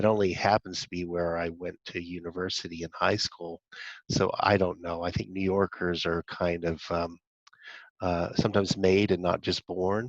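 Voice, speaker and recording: A man with an American accent speaks in a very deep, low, monotone voice at a moderate pace. The background is quiet, and the sound is dry and close with no echo. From US South, Alabama and Ohio. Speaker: activist panelist. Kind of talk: panel discussion.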